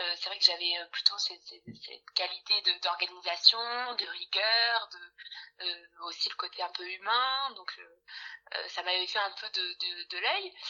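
A woman speaks at a fairly slow pace. Her loudness rises and falls in big swings. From France, Bordeaux. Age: 20s. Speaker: HR work-study student. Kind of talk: interview. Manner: hesitant with fillers.

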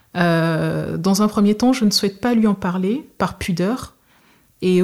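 In a very clean recording with a silent background, a woman speaks at a fairly slow pace in a somewhat breathy voice of medium pitch. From Togo. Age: 30s. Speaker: nurse. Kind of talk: testimony. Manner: hesitant, with frequent fillers.

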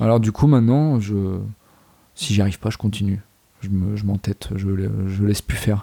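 A man speaks at a moderate pace with fairly low pitch and a dark, mellow tone, his intonation fairly even. Long, frequent pauses break up the dry, close sound, which has no echo. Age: 20s. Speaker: volunteer firefighter and outdoorsman. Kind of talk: casual interview.

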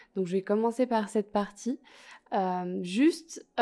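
The speaker is a woman with a dark, mellow tone. She talks at a fairly slow pace. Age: 20s. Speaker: student podcaster. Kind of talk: podcast introduction monologue. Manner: hesitant, frequent fillers.

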